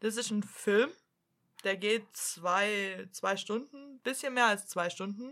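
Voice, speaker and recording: A woman's bright, sharp tone at a medium pitch, very slow pace and ordinary pitch variation, in a very clean recording with a silent background. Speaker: podcast co-host. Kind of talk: casual chat.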